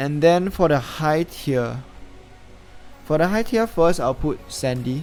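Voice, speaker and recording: With a non-native accent, a man talks at a very slow pace in a fairly high pitch, with lively intonation. Long, frequent pauses break up his speech over music in the background. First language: not English. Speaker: gaming YouTuber. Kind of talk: casual gaming commentary to camera. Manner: hesitant, some stuttering.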